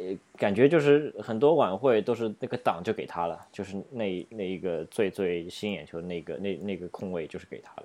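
With a dark, mellow tone and lively intonation, the voice moves at a moderate pace with hardly any pauses and big swings in loudness over a quiet background. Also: man, fairly low pitch for a man. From Shanghai, China. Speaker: podcast co-host. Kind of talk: casual chat.

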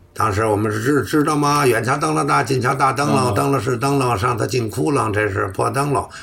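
Fairly quick, lively speech with hardly any pauses and very even loudness, over noticeable background noise. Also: man, medium pitch for a man. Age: 60s. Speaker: crosstalk comedian. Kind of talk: casual interview.

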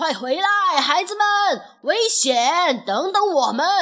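Shouting in a put-on character voice, a woman speaks slowly at a high pitch with a fairly bright tone and big pitch swings.

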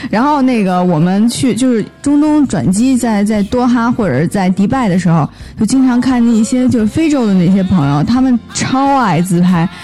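Her voice is fairly high, with lively intonation and very even loudness at a moderate pace. The woman barely pauses, and noticeable background noise is present. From northern China. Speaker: podcast guest, traveller. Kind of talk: casual chat.

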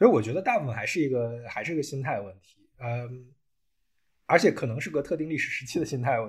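Somewhat breathy and fairly quick, the voice has lively intonation and big swings in loudness. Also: man, fairly high pitch for a man. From China. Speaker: automotive engineer. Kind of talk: casual chat.

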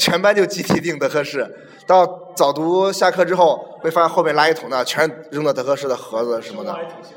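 A man talks at a high pitch and fairly quick pace, with ordinary pitch variation, big swings in loudness and noticeable background noise. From Henan. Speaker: podcast guest. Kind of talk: casual chat.

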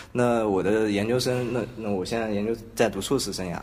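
A fairly low male voice at a fairly quick pace, with audible room echo and noticeable background noise. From Hangzhou, southern China. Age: 20s. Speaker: podcast co-host, design graduate student. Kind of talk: casual chat. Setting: university classroom.

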